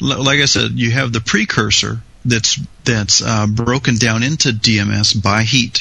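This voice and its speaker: Vocal fry runs through this man's fairly slow speech. His intonation is fairly even and his loudness very even. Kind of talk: casual banter and technical discussion.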